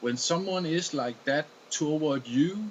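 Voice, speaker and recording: A fairly high-pitched male voice with a Danish accent, very slow in pace, with ordinary pitch variation. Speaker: video blogger. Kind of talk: casual monologue. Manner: halting.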